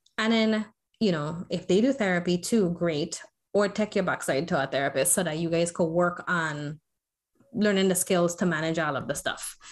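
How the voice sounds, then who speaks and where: A woman with an American accent speaks at a moderate pace, in an unremarkable speaking voice with fairly low pitch and ordinary pitch variation. The recording is very clean, with a silent background. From US Virgin Islands, St. Croix. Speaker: licensed professional counselor. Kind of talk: casual chat.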